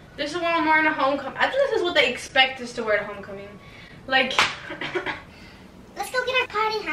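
Raised, projected voice of a woman against noticeable background noise. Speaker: try-on haul vlogger. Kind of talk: casual vlog chat. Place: home room. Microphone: camera far.

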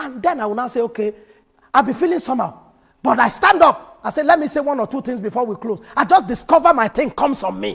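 Against a quiet background, a man with a Nigerian accent speaks at a very fast pace, his extremely high pitch carried by lively intonation. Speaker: pastor. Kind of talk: sermon. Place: church. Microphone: lapel.

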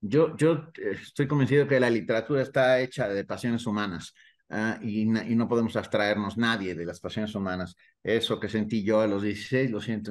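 Against a quiet background, a man with a fairly low pitch speaks at a fairly quick pace with ordinary pitch variation. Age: 60s. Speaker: novelist; interviewee. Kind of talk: interview. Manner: halting, frequent repetitions. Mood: warm, reflective, animated. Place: home room. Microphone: video call.

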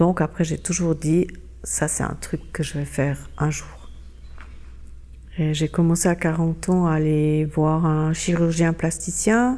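A woman talks at a very slow pace. Her speech has long, frequent pauses. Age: 60s. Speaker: interviewee sharing cosmetic surgery experience. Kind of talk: testimony. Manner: halting, many filler words.

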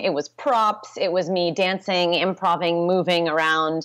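In a quiet background, a woman with an American accent talks at a moderate pace in a medium pitch. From US West Coast (Santa Rosa, California). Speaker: pole dance instructor and studio owner. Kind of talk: interview. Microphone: video call.

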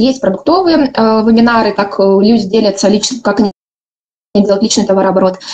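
Over a quiet background, a woman with an unremarkable speaking voice talks at a moderate pace and a fairly high pitch, with ordinary pitch variation. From Ukraine. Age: 20s. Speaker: network marketing director. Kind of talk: conference talk. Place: home room. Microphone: webcam.

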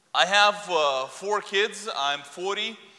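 A man is speaking. His pitch shows ordinary variation. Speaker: guest preacher. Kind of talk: sermon. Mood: light, joking introduction. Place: church. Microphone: lapel.

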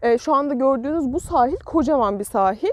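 A woman's high voice carries lively intonation, recorded dry with no echo. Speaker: travel vlogger. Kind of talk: casual vlog chat. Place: beach. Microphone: phone near.

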